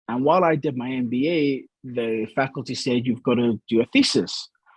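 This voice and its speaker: Recorded dry and close with no echo, a man with a Scottish accent talks at medium pitch with ordinary pitch variation. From Scotland, Glasgow. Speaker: gambling industry analyst and columnist. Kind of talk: interview.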